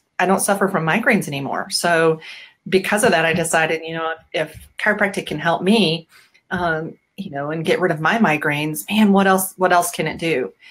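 An ordinary speaking voice with an American accent moves at a fairly quick pace, with ordinary pitch variation. The loudness swings a lot over a quiet background. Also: woman, fairly low pitch for a woman. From US Midwest, Bettendorf, Iowa; Iowa. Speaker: rugby program supporter; interview guest, chiropractor. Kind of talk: casual interview. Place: home room.

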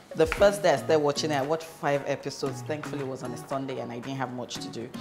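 Over clear music in the background, a woman speaks in a very deep, low voice. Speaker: cooking vlogger. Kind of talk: casual cooking vlog chat. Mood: cheerful, chatty. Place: kitchen.

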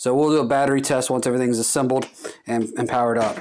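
A man speaks with music in the background. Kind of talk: tutorial. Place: workshop.

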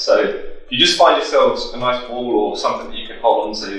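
A man at a moderate pace, surrounded by strong room echo. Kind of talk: workout instruction. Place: empty room.

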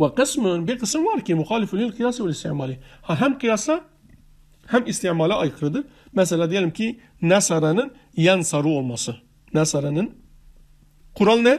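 A man with a high voice talks at a moderate pace, his pitch swinging very widely between long, frequent pauses. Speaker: religious studies teacher. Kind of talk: lecture. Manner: halting.

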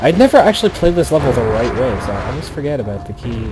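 Music plays behind the speaker. He is a man talking at a very fast pace. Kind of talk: gaming commentary. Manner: casual.

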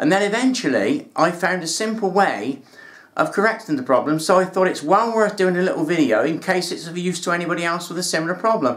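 This man talks at a very fast pace in a high voice, his intonation lively. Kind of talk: tutorial. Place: home room.

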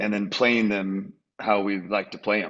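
This man's fairly low voice comes through against a quiet background. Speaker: guest. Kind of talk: interview answer. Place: home room. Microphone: video call.

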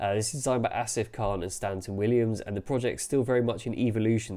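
With a London accent, a man speaks in a dark, mellow tone at a fairly low pitch and with fairly even intonation. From London, England. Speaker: architectural journalist. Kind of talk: solo video commentary. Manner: casual, with frequent fillers. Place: home room. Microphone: webcam.

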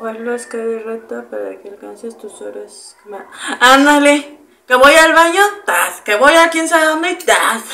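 A woman with a high voice speaks at a fairly slow pace in an animated tone, her loudness swinging widely. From Mexico, Irapuato (Guanajuato). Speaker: streamer. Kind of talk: casual chat. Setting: live stream. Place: kitchen.

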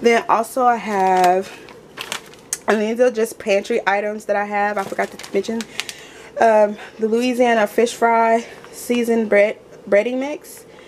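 Fairly even intonation comes at a fairly slow pace with long, frequent pauses over noticeable background noise. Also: woman, fairly high pitch for a woman. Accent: American. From Texas. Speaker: lifestyle vlogger. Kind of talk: haul video, casual chat to camera. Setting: at home.

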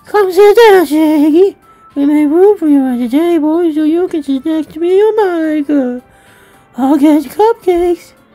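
A woman does a put-on character voice at extremely high pitch, with faint music in the background. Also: moderate pace.

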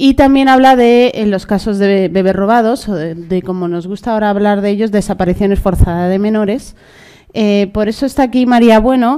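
A woman speaks with a dark, mellow tone at a fairly quick pace. Her pitch varies in an ordinary way against a quiet background. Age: 30s. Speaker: panel moderator. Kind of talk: panel moderation. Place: hall. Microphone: podium.

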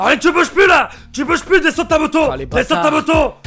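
Faint music plays behind a man doing a put-on character voice. His pitch is extremely high and his pace fairly quick. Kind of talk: authoritative. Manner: shouting orders, commanding.

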